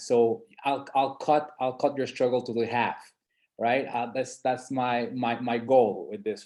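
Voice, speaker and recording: With a non-native accent, a man talks at a fairly slow pace in a medium pitch with monotone, flat intonation. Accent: noticeable non-native. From San Andres island, Colombia. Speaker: entrepreneur presenting market study. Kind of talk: webinar presentation.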